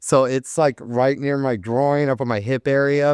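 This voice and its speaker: A man speaks in a normal speaking voice with an American accent, at a medium pitch and fairly even intonation. The sound is dry and close, with no echo. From Arizona, Tucson. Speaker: tattoo artist. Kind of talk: casual chat.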